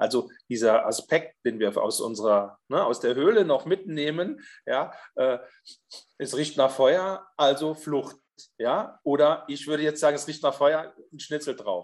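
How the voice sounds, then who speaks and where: A man with a normal speaking voice, fairly high and lively in intonation, talking fairly slowly over a quiet background. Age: 50s. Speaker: social worker with therapy dogs. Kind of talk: casual chat.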